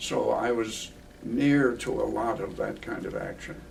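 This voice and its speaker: American accent amid noticeable background noise and audible room echo. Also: man. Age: 90s. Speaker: war veteran and retired professor. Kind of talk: interview recollection.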